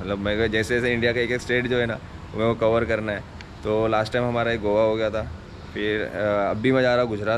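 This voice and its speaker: A man talks at a fairly quick pace with monotone, flat intonation. Light background noise can be heard. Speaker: motovlogger. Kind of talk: casual vlog chat. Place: street.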